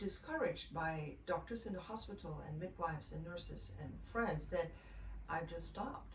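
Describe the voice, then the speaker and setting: A woman talks at a fairly slow pace amid noticeable background noise. Audible room echo surrounds her voice. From Netherlands, Amsterdam. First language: Dutch. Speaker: mother sharing breastfeeding tips. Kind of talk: casual vlog talk. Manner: halting, many fillers.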